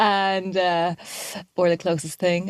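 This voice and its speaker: The recording is dry and close, with no echo. A woman speaks in a fairly low voice. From Ireland, Dublin. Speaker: musician. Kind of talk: interview. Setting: podcast.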